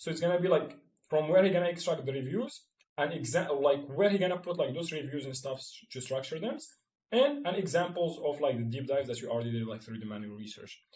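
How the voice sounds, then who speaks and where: A man with a fairly high, somewhat breathy voice talks at a fairly quick pace, his loudness swinging widely. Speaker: marketing tutorial creator. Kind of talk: screen-share tutorial. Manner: fast; filler-heavy, halting.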